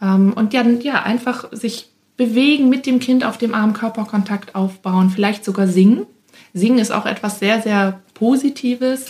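Here a woman has an unremarkable speaking voice at a fairly high pitch. She speaks at a fairly slow pace with fairly even intonation. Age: 20s. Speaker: speech therapist and childcare entrepreneur. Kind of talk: interview. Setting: studio.

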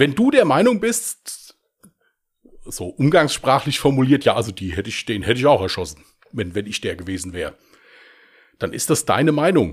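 A man with a medium-pitched voice and vocal fry talks at a moderate pace, his pitch swinging very widely between long, frequent pauses. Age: 40s. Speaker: podcast host and crime author. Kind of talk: casual chat.

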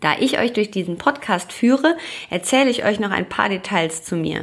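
A woman speaks in an unremarkable speaking voice at medium pitch. Her pace is moderate and her pitch variation ordinary. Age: 30s. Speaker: podcast host, yoga and meditation teacher. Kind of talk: scripted narration.

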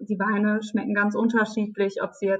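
A woman at medium pitch and a moderate pace. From Palatinate, Germany (Neustadt). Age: 20s. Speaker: wine queen, winemaker's daughter. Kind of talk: interview. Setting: video call.

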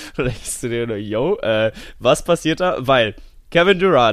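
Swinging very widely in pitch, a man talks at a moderate pace. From Cologne, Germany. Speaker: podcast host, sports commentator. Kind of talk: casual chat. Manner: animated.

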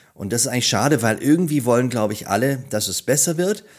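Talking at a very fast pace with lively intonation, a man comes through on a very clean recording with a silent background. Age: 50s. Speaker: storytelling coach. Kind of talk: interview.

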